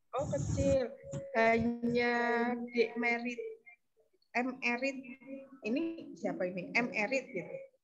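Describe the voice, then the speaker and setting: A high-pitched woman at a very slow pace, with ordinary pitch variation and long, frequent pauses. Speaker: scout trainer. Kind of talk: online training session. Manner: soft-spoken. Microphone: too quiet.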